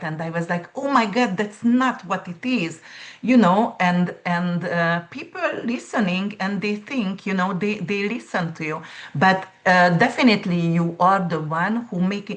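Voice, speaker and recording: Speaking at a fairly slow pace with a non-native accent, this voice sounds somewhat breathy and shows ordinary pitch variation. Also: woman. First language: not English. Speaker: astrologer and nurse. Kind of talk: casual interview chat.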